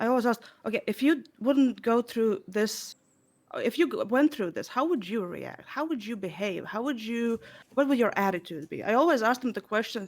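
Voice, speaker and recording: Speaking at a moderate pace with a non-native accent, a woman uses lively intonation at a fairly high pitch. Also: very clean recording, silent background. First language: not English. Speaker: streamer. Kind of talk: panel discussion. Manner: halting.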